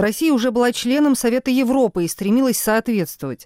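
A woman talks at a fairly quick pace with a dark, mellow tone and ordinary pitch variation. The recording is very clean with a silent background and a dry, close sound with no echo. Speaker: legal affairs journalist. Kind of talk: scripted narration.

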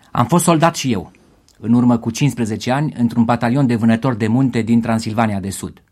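A man's ordinary speaking voice at a medium pitch and a fairly quick pace, with ordinary pitch variation. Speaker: radio host. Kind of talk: live special radio broadcast during the 1989 revolution. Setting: radio studio, live. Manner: urgent, grave, measured.

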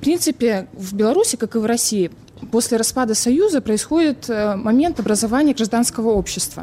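Over noticeable background noise, a woman talks at a fairly quick pace. Her voice is fairly high. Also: ordinary pitch variation. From Belarus. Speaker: student. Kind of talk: panel discussion.

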